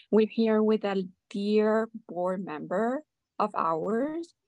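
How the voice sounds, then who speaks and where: A woman speaks very slowly with a Spanish accent and ordinary pitch variation. The recording is dry and close, with no echo. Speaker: podcast host and nonprofit founder. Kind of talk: interview, conversational.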